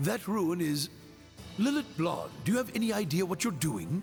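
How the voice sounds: A man does a put-on character voice, pitched high with big swings and some vocal fry. He talks at a moderate pace while faint music plays in the background.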